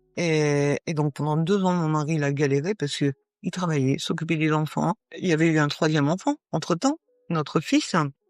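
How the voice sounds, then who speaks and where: Fairly even intonation at a fairly slow pace, in a dry, close sound with no echo, with music in the background. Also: woman. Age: 60s. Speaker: paralympic athlete. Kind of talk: interview. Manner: halting, many hesitations.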